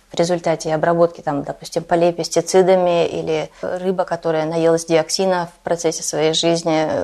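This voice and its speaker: A woman speaks at a moderate pace in a fairly low voice with a dark, mellow tone. Her intonation is monotone and flat. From Russia. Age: 40s. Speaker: Russian emigrant living in Denmark. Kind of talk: interview.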